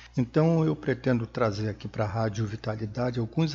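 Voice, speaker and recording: A man's somewhat breathy voice sits at a medium pitch. His pace is moderate and his pitch variation ordinary. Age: 60s. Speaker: podcast host on aging and health. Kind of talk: solo podcast monologue. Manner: halting with fillers.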